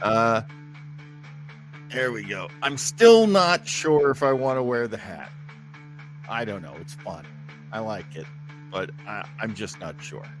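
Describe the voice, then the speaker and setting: With music playing in the background, a man talks at a fairly slow pace in a medium pitch and a relaxed tone. His pitch swings very widely. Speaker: livestream host. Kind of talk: casual live stream talk. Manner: relaxed, rambling, hesitant.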